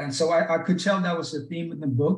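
Male speech, somewhat breathy, its intonation fairly even. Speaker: podcast host. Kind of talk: interview conversation.

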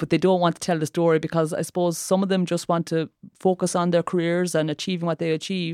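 A woman with an Irish accent speaks very fast in a dark, mellow tone and a monotone, flat delivery, on a very clean recording with a silent background. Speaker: former athlete and sports campaigner. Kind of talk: podcast interview.

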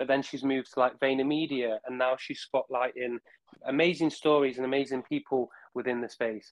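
At a fairly quick pace, a man with a medium pitch speaks in an enthusiastic tone. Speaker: guest, partnerships and funding lead at a metaverse project. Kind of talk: casual interview. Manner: talkative, enthusiastic.

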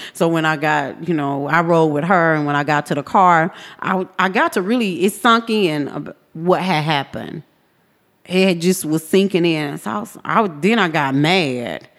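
On a very clean recording with a silent background, a woman speaks at a moderate pace. Hers is an unremarkable speaking voice, fairly low, with ordinary pitch variation. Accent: American. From Texas, South Dallas. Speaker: activist and trafficking survivor. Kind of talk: personal testimony. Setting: studio.

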